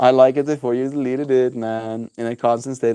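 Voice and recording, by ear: A text is read out naturally, the intonation staying mostly level.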